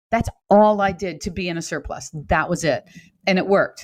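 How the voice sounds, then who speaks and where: Against a quiet background, a woman with an unremarkable speaking voice talks at a fairly quick pace with ordinary pitch variation. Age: 60s. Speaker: fitness coach. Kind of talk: casual chat.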